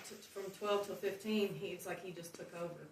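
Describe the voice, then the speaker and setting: A woman with an American accent, medium pitch, monotone, flat intonation and a fairly slow pace, with audible room echo and noticeable background noise. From Oklahoma and Alabama, US South. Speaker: recovering addict sharing testimony. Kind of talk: testimony. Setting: church testimony night with audience. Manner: halting, many fillers.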